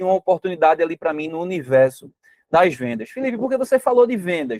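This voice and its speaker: A man speaks at a fairly quick pace with a high pitch. The sound is dry and close, with no echo. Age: 30s. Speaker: network marketing presenter. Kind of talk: sales pitch.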